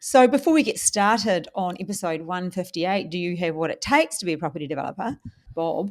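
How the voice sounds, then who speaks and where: A woman with a New Zealand accent, medium pitch, lively intonation and a very fast pace. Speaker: podcast host, property investor. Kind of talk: casual chat.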